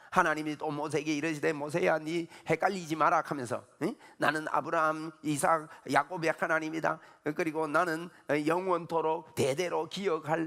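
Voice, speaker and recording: A man's fairly high voice at a moderate pace. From Gyeongsang region, South Korea. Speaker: pastor. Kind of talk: sermon. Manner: animated.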